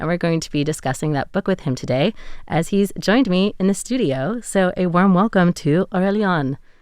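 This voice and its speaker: With an American accent, a woman speaks in a normal speaking voice at medium pitch. Her pace is fairly quick and her intonation lively, over a quiet background. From USA. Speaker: radio host. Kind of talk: interview. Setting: studio.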